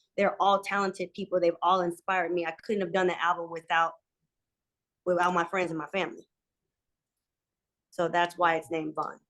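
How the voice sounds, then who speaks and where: An animated woman with a fairly low pitch speaks at a fairly quick pace, with long, frequent pauses. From St. Louis, Missouri, US Midwest. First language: Vietnamese. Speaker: R&B singer. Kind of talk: interview.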